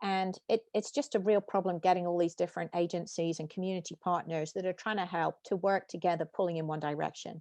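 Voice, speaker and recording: A woman's very fast British-accented speech with hardly any pauses, fairly low in pitch, dark and mellow in tone, fairly even in intonation, dry and close with no echo over a quiet background. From UK. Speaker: tech company founder and CEO. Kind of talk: interview.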